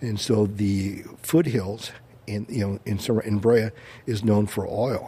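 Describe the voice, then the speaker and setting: A man's fairly low, dark, mellow voice in an American accent, somewhat breathy, at a fairly slow pace with fairly even intonation. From Orange County, California. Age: 60s. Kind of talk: casual interview chat.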